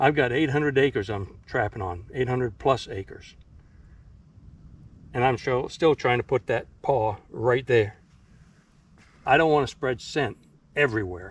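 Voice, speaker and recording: A man with a medium pitch speaks at a moderate pace, somewhat breathy, with ordinary pitch variation. He takes long, frequent pauses against a quiet background. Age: 60s. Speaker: trapper. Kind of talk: tutorial. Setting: outdoors. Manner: casual, halting.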